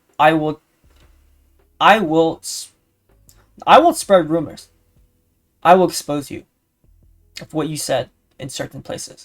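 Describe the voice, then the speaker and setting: Music plays behind the speaker. The words come at a moderate speed. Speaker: streamer. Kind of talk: casual vlog monologue. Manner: rambling.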